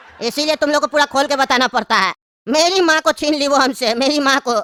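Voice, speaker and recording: A put-on character voice, high-pitched and very fast. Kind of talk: comic deadpan sketch acting. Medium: comedy sketch. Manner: condescending, rambling, lecturing.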